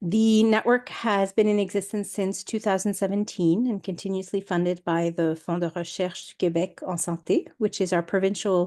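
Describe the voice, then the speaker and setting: A woman speaks at a moderate pace in a medium pitch. Her tone is dark and mellow, with ordinary pitch variation. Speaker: research network staff presenter. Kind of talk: webinar presentation. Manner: hesitant, many fillers.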